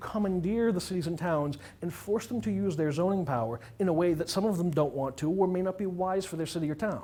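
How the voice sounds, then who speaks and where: A man talks loudly at a fairly quick pace, his pitch high. His tone is dark and mellow. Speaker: attorney. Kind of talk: presentation. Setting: public meeting room. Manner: fast.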